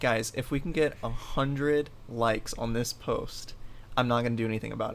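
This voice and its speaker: There's a man speaking in a plain, everyday voice. He keeps his intonation fairly even. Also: medium pitch for a man, fairly quick pace. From Florida, US (born in Ohio). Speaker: fitness coach, podcast host. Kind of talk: casual chat.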